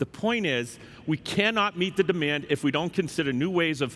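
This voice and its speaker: With an American accent, a man speaks at a moderate pace. His voice is fairly high, with ordinary pitch variation. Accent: Boston accent, joked about. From Boston. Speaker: software executive. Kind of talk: conference keynote. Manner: formal.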